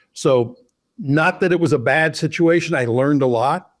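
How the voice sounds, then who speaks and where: On a very clean recording with a silent background, a man with an American accent talks at a moderate pace with ordinary pitch variation. The sound is dry and close with no echo, and he has a plain, everyday voice. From Oklahoma. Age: 60s. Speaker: loan officer, former baseball umpire. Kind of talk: interview.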